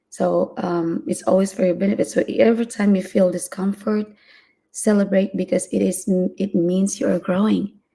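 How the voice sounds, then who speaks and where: With a non-native accent, a woman speaks at a moderate pace in a medium-pitched, dark, mellow voice with vocal fry and ordinary pitch variation. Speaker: live-stream motivational vlogger. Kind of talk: solo live stream talk. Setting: home live stream, early morning. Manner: hesitant, many fillers.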